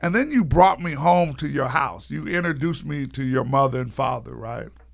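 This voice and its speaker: Lively intonation marks this man's speech. His voice has vocal fry. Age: 60s. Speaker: podcast host. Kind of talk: casual chat.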